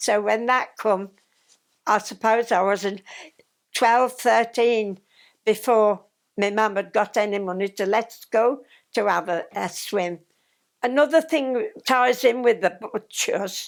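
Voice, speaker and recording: Speaking very slowly in a West Midlands accent, a woman uses a fairly high pitch with ordinary pitch variation and big swings in loudness. Long, frequent pauses fill a very clean recording with a silent background. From Tamworth, Staffordshire, England. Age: 80s+. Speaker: former Scout leader. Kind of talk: reminiscence interview answer.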